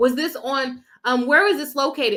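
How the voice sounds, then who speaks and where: The voice is raised and projected. Its tone is bright and sharp. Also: woman. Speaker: lawyer and legal commentator. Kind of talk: live stream reaction and chat reading. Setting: live stream. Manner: trips over words; conversational with fillers.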